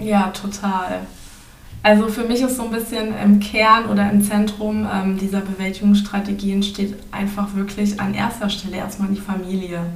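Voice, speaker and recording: Monotone, flat speech at a moderate pace with an audible room echo. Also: woman, medium pitch for a woman. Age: 20s. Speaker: student and trainee teacher, podcast guest. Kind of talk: podcast interview, partly academic explanation. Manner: hesitant, many filler sounds.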